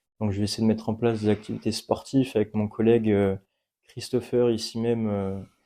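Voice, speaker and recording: A man with an unremarkable speaking voice, medium pitch and fairly even intonation. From France, Poitiers area. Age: 20s. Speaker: apprentice youth sports worker. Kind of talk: radio interview. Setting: outdoor courtyard.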